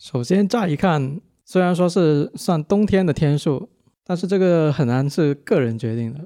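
Spoken in a plain, everyday voice, the words come at a fairly slow pace with lively intonation. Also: man, fairly high pitch for a man, dry, close sound with no echo. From Guangdong, southern China. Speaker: geology PhD student, listener. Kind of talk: casual chat.

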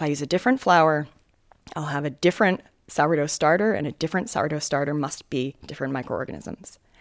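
On a very clean recording with a silent background, a woman talks at a very fast pace in a very deep, low voice with ordinary pitch variation. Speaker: microbiologist. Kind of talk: explaining research.

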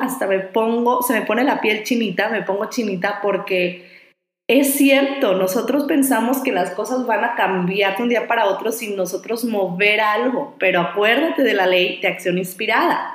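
A fairly high-pitched woman's voice at a moderate pace, with ordinary pitch variation and audible room echo. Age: 30s. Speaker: life coach and podcast host. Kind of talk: motivational monologue.

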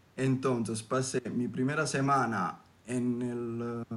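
A man with an Italian accent, medium in pitch, with ordinary pitch variation. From southern Italy. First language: Italian (speaking Spanish). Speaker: former exchange student. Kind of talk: casual interview. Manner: hesitant, many fillers.

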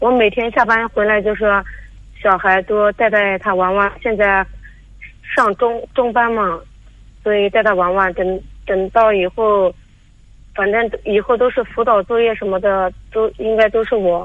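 A woman's fairly high voice, monotone and flat, at a fairly slow pace with long, frequent pauses. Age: 30s. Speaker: caller seeking advice. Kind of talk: radio call-in. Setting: phone call. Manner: halting, repeats words.

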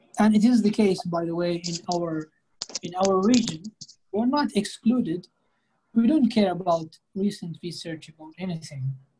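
The speaker has an Arabic accent. Long, frequent pauses break up the speech. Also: moderate pace. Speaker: English conversation club host. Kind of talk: casual conversation practice.

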